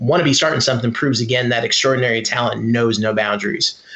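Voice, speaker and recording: With an unremarkable speaking voice at medium pitch, a man talks in a fairly even intonation. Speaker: fan and dancer guest. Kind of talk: casual roundtable discussion.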